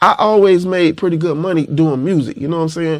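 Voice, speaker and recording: This is a man talking at a fairly quick pace. His pitch varies in an ordinary way. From Florida, Panama City. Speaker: rapper. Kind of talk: interview. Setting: studio.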